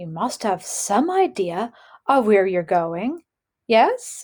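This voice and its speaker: A woman does a put-on character voice at medium pitch. She speaks at a very slow pace. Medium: read story. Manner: gentle, probing.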